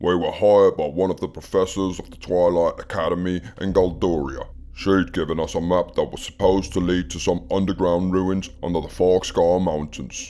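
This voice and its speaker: Using a put-on character voice, a man speaks very deep and low at a moderate pace. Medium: audio drama. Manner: gruff, storytelling.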